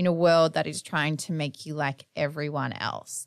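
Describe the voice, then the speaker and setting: A woman talks in an animated tone with an Australian accent. The recording is very clean, with a silent background. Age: 30s. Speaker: podcast host. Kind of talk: casual monologue.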